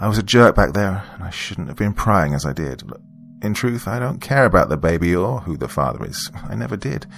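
A man's put-on character voice, low-pitched and fairly bright in tone, with vocal fry, big pitch swings and a fairly quick pace.

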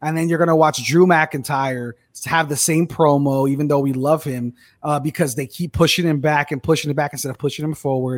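With a normal speaking voice, a man talks at a fairly quick pace, his pitch fairly high and his intonation fairly even, on a very clean recording with a silent background. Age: 20s. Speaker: wrestling podcast co-host. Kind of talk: casual chat.

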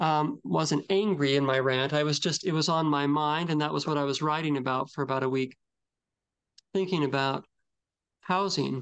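With an unremarkable speaking voice, a man talks at a moderate pace and fairly high pitch, his loudness very even and his intonation fairly even, against a quiet background. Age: 40s. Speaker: podcast co-host. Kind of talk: casual chat.

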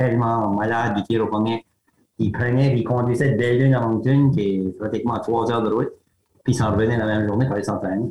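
His intonation fairly even, a man rattles off his words at a very fast pace. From Acadian New Brunswick, Grande-Digue area. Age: 60s. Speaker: retired teacher and arm-wrestling champion. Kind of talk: interview. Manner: hesitant, repetitive.

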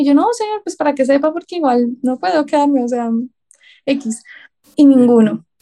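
A woman speaks in a high voice with a Bogotá accent. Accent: Bogotá Colombian Spanish. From Bogotá, Colombia. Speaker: psychology student, writer and call center agent. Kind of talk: casual chat.

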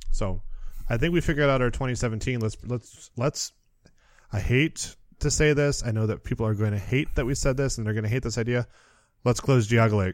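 A man with an American accent talks at a fairly quick pace and medium pitch, with ordinary pitch variation, in a plain, everyday voice. The recording is very clean, with a silent background. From Michigan (Muskegon). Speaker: theme park podcast host. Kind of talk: casual chat.

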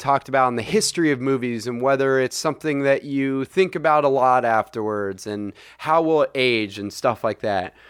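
In a plain, everyday voice, a man with an American accent and a fairly high pitch talks at a moderate pace with lively intonation, on a very clean recording with a silent background. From US, Saratoga area. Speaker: podcast co-host. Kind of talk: casual chat.

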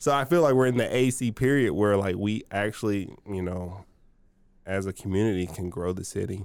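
In a very clean recording with a silent background, a man with a plain, everyday voice talks at a moderate pace with ordinary pitch variation. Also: fairly low pitch for a man. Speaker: brewer. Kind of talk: casual interview chat.

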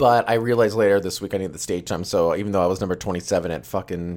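A man speaks at a very fast pace with fairly even intonation in a very clean recording with a silent background. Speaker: comedian. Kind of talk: casual chat.

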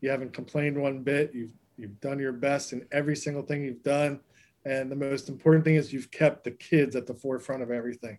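Speaking at a very fast pace, a man keeps a monotone, flat intonation. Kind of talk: casual interview. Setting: video call.

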